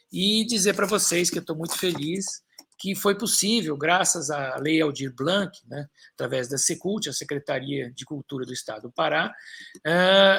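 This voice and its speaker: The tone is bright and sharp. Intonation stays lively throughout. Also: man. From Brazil, São Paulo. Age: 60s. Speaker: author and environmentalist. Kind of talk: live stream talk. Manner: halting, many fillers.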